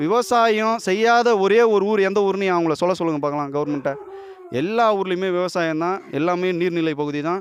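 This man has a high-pitched voice with ordinary pitch variation. Noticeable background noise runs under his speech. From Tamil Nadu, Kanchipuram area. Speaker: village protester. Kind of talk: street interview.

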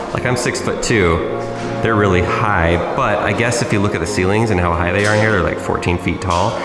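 Against clear music in the background, a man talks at a fairly quick pace with ordinary pitch variation. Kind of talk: casual vlog chat. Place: home room. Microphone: phone near.

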